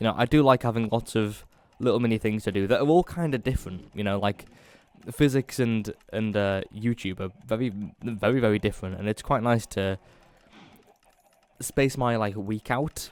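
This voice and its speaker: Speaking at a fairly quick pace, a man has a northern English accent. His pitch is medium. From northern England. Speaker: gaming YouTuber. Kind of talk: casual gameplay commentary. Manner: halting, many fillers.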